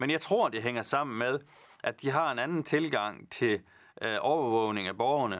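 Here a man speaks with a Jutlandic accent at a fairly slow pace and ordinary pitch variation. The background is quiet. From Vendsyssel, northern Jutland, Denmark; Denmark. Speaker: politician. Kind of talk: Q&A answering viewer questions. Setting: studio, alone. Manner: halting, many fillers. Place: studio. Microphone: lapel.

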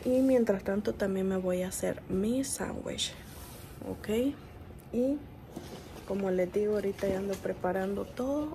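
With light background noise, a woman speaks at a fairly slow pace, leaving long, frequent pauses, her pitch varying in an ordinary way. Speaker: mother vlogger. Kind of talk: casual vlog chat. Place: kitchen. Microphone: phone near.

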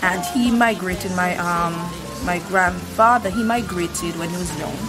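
A woman at a moderate pace over clear music in the background. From Saint Vincent. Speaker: cook. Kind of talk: interview answer. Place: street.

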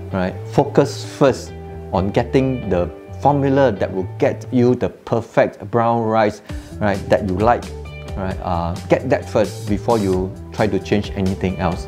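Over clear music in the background, a man with a fairly low pitch talks at a fairly slow pace with ordinary pitch variation. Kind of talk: tutorial. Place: kitchen. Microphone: lapel.

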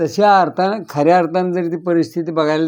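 A man's high voice with ordinary pitch variation. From Maharashtra, Satara district. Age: 80s+. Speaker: farmer and sugar cooperative member. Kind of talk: interview.

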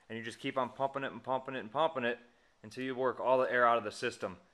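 The tone is bright and sharp. It belongs to a man. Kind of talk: tutorial. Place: garage. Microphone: phone near.

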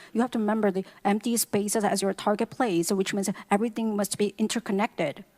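A woman with an ordinary speaking voice talks at a moderate pace in a medium pitch, with fairly even intonation. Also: dry, close sound with no echo. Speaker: English interpreter. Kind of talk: consecutive interpreting of sermon.

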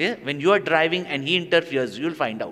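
Lively in intonation, a man speaks at a moderate pace. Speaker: spiritual teacher. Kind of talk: religious discourse to an audience. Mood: animated, with humor. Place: hall. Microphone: studio mic.

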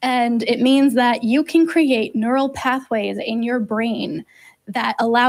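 A woman speaks at a high pitch and fairly slow pace. Her intonation is fairly even, and the background is quiet. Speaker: co-host of call-in show. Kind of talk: explanatory answer to a caller. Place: studio. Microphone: studio mic.

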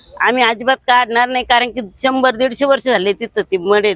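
A woman's high-pitched voice comes through with a dry, close sound that has no echo. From Maharashtra, India (Nagapur, Ahilyanagar). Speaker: villager, community member. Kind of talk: news interview statement.

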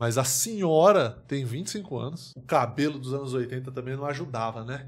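A man speaks at a fairly slow pace. His tone is animated and somewhat breathy. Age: 30s. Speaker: comedian. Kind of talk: live stream reaction commentary.

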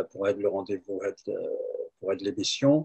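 The background is quiet. A man speaks at a fairly high pitch. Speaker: talk show host. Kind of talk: interview discussion. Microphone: video call.

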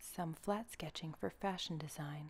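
The speaker is soft-spoken, with ordinary pitch variation. The pace is fairly slow. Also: woman. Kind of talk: ASMR tutorial narration.

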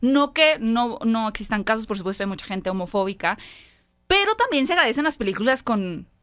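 In an animated tone, a woman speaks at a fairly quick pace and fairly high pitch against a quiet background. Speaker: film podcast host. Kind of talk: casual chat. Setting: studio. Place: studio. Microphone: studio mic.

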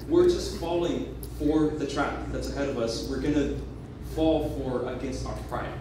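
Strong room echo on a male voice, plus noticeable background noise. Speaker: youth preacher. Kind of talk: sermon. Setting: church. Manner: animated, earnest, conversational; teaching with an illustrative story, building to an altar call. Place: church. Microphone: pa.

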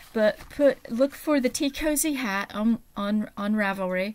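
A woman speaks with ordinary pitch variation. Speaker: small seller. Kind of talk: casual vlog chat. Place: home room. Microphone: webcam.

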